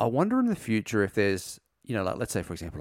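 Someone with an Australian accent speaks in a very clean recording with a silent background. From Gold Coast, Australia. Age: 30s. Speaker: podcast host. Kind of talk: casual chat.

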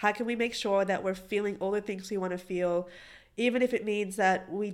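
The speech has an animated tone and a moderate pace, captured in a very clean recording with a silent background. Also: woman. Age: 20s. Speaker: podcast co-host. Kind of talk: casual chat. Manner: animated, laughs often.

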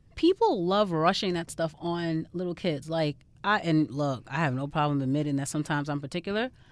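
A woman speaks with a New York accent at a fairly quick pace, her pitch very deep and low with ordinary variation. The recording is very clean, with a silent background. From Far Rockaway, Queens, New York. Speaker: guest. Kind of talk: casual chat.

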